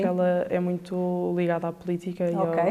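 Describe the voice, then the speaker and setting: Speaking with a medium pitch, a woman keeps to a moderate pace. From Porto, Portugal. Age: 20s. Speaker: veterinary assistant student. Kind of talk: interview answer.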